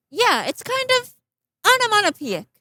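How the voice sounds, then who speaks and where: In a put-on character voice, the speaker sounds squeaky, with an extremely high pitch, and moves at a moderate pace. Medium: stage play. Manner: casual, reasonable.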